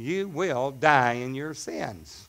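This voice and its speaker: This is a man speaking at a very slow pace. The intonation he uses is lively. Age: 60s. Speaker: pastor. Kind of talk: sermon. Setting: church. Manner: animated. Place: church. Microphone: headset.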